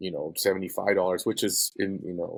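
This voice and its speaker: Recorded very cleanly against a silent background, a man with an American accent speaks at a moderate pace in a dry, close sound with no echo. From US West Coast, East Los Angeles. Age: 40s. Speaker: print graphics director. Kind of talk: casual podcast chat. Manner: casual, halting with fillers.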